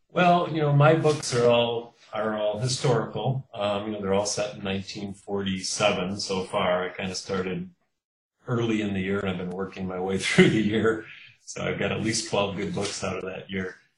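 A man speaks in a fairly low voice with ordinary pitch variation. His pace is moderate. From US Midwest, Kenosha, Wisconsin. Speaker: mystery novelist. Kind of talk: interview.

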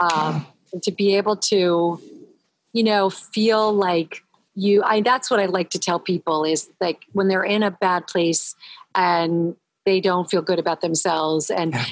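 In a plain, everyday voice, a woman of medium pitch speaks at a fairly slow pace with fairly even intonation. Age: 60s. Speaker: holistic nutritionist. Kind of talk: casual chat. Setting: remote audio call, video off.

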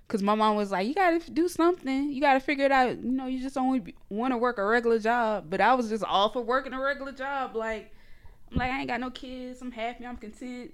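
A woman's high-pitched voice with a Geechee accent, at a very fast pace. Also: ordinary pitch variation. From northeast Florida, near Jacksonville. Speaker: blogger and website founder. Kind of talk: casual interview. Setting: studio.

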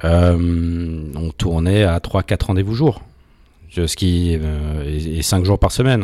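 Deep and very low in pitch, a man's dark, mellow voice comes through dry and close with no echo. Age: 40s. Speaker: executive of a legal rankings company. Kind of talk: interview. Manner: halting, many fillers.

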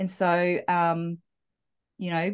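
Over a quiet background, a woman talks in a New Zealand accent at a fairly low pitch. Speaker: dating and relationship coach. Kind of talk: interview.

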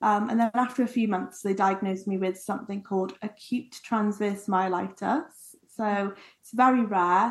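A woman with an English accent talks at a medium pitch with fairly even intonation and big swings in loudness. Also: moderate pace. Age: 30s. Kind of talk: casual chat.

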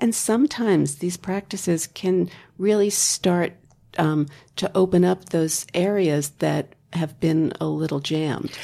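On a very clean recording with a silent background, a woman speaks at a fairly slow pace in a dark, mellow tone, with fairly low pitch and ordinary pitch variation. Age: 60s. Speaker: healing touch practitioner. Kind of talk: interview.

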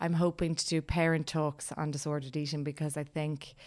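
A woman's very deep, low voice with an Irish accent, fairly even intonation and a fairly quick pace, in a very clean recording with a silent background. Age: 40s. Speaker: life coach and yoga teacher. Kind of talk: interview about personal experience. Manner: talkative.

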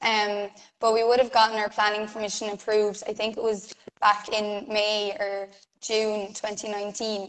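Her pitch fairly high, a woman speaks at a fairly slow pace in a monotone with flat intonation. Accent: Irish. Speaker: self builder. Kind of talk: casual interview.

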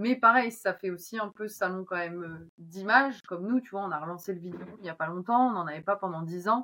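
Speaking fairly quickly in an ordinary speaking voice, a woman keeps a medium pitch with ordinary pitch variation while her loudness swings widely. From northern France, Oise. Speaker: agricultural machinery marketing manager. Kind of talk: casual interview.

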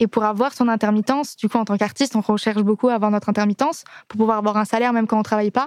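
The talking is very fast, with a dry, close sound and no echo. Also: woman, fairly high pitch for a woman. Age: 20s. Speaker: singer. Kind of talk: casual chat. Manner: animated.

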